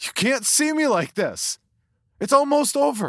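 In a put-on character voice, a man shouts with strain at an extremely high pitch, big pitch swings, and a fairly slow pace, on a very clean recording with a silent background.

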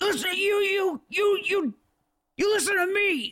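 A woman puts on a character voice that is squeaky and gruff at once. Her pitch is extremely high, with ordinary pitch variation. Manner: commanding, stern.

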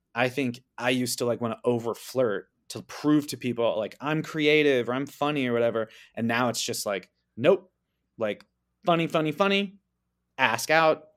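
In an ordinary speaking voice, someone talks at a moderate pace with ordinary pitch variation on a very clean recording with a silent background. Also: man, medium pitch for a man. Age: 30s. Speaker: dating-advice guest. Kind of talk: casual chat.

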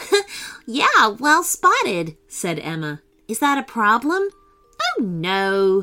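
Someone reads the text aloud plainly.

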